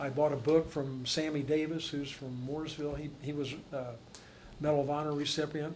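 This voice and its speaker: A man at a fairly high pitch, flat and monotone, at a fairly quick pace, with audible room echo. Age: 70s. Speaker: Vietnam war veteran, panelist. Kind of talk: panel discussion.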